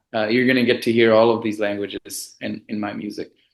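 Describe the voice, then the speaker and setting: In a Bengali accent, a man talks at a moderate pace. His pitch is medium. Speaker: music composer and producer. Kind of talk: interview. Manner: casual, lots of fillers.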